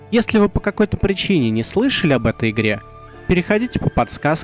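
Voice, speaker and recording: A man talks at a fairly quick pace, his pitch swinging very widely. Music plays in the background, and the sound is dry and close with no echo. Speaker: tabletop RPG reviewer. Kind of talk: informative explainer to camera. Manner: energetic, forceful.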